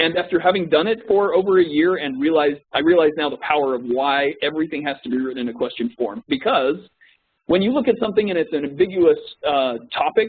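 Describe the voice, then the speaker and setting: A man's fairly high voice, very fast, with lively intonation. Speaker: corporate trainer. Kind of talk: training presentation. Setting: web conference recording.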